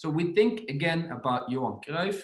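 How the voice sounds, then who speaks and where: Somewhat breathy and with a non-native accent, the voice moves at a moderate pace through very wide pitch swings. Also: man. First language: not English. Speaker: football coach. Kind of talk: podcast presentation on coaching.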